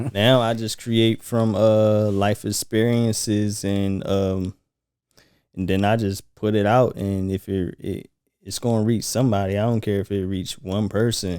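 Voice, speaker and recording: Soft-spoken and calm, a man talks at a fairly slow pace in a fairly low, dark, mellow voice with monotone, flat intonation, on a very clean recording with a silent background. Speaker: musician. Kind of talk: casual chat. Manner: soft-spoken, calm and laid back.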